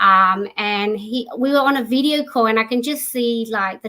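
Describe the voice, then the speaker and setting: The voice has a bright, sharp tone in an Australian accent. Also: woman. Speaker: entrepreneur. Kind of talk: interview.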